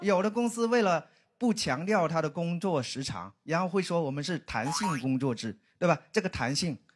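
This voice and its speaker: A man's fairly high voice swings very widely in pitch while holding a moderate pace. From Guangxi, China. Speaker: stand-up comedian. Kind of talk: stand-up. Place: stage. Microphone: handheld.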